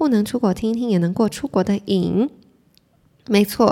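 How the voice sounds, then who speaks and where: In a very clean recording with a silent background, a woman with a medium pitch and a dark, mellow, calm, relaxed tone speaks at a moderate pace with ordinary pitch variation. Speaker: podcast host. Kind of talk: solo casual chat, reading listener messages. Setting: solo recording at the mic.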